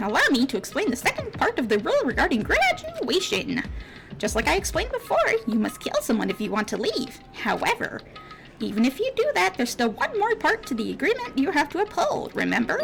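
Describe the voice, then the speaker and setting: A put-on character voice at a fairly quick pace, with clear music in the background. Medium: game stream. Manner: mocking, playful.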